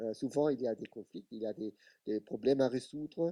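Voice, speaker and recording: In an Italian accent, a man speaks with a dark, mellow tone and ordinary pitch variation, recorded dry and close with no echo on a very clean, silent background. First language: Italian (speaking French). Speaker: television expert. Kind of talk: panel discussion. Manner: halting.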